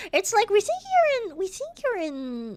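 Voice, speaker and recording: Someone with an American accent speaks with very wide pitch swings. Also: woman. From US South, Georgia-Florida border. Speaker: streamer. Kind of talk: casual chat.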